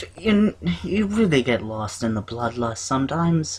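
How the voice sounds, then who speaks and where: Putting on a character voice, a man speaks at a medium pitch with very wide pitch swings. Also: moderate pace. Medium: actual play. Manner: warm, fatherly.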